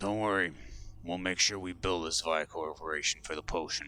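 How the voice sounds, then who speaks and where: A man puts on a raspy character voice at a very deep, low pitch. Clear background noise is present. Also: moderate pace. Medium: actual play.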